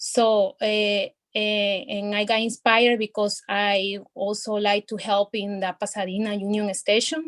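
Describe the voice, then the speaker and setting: A woman speaks with a Spanish accent at a medium pitch and a fairly slow pace. Her intonation is flat and monotone, and the sound is dry and close with no echo. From El Salvador. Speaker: poet. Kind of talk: poetry reading; casual chat. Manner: halting.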